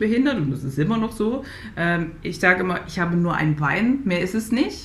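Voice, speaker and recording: A woman with a medium-pitched voice talks at a fairly quick pace, with audible room echo and noticeable background noise. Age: 30s. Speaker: Paralympic athlete and mental coach. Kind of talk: interview conversation. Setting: video call. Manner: halting, many repetitions.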